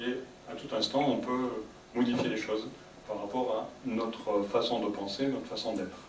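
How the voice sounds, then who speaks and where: A soft-spoken man is heard with audible room echo and noticeable background noise. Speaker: psychologist giving a conference. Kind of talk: public talk to audience. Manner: sometimes very fast.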